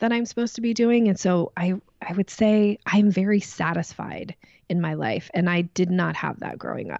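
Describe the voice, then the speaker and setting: A woman with an American accent uses a plain, everyday voice with ordinary pitch variation against a quiet background. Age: 40s. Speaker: sales coach and trainer. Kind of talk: interview conversation.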